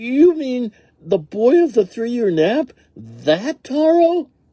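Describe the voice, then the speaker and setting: Using a put-on character voice at an extremely high pitch, a man talks very slowly with very wide pitch swings in a dry, close sound with no echo. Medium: read story. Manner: stammering, fearful.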